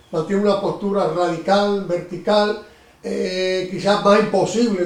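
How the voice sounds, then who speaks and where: The voice has a monotone, flat intonation, with noticeable background noise and audible room echo. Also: man. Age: 70s. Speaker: interviewer. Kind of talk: interview.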